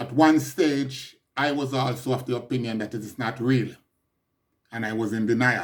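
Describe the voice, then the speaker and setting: Speaking with a Jamaican accent, a man keeps a medium pitch, a moderate pace and fairly even intonation. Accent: Jamaican English with patois features. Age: 60s. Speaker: podcaster. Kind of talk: personal monologue update.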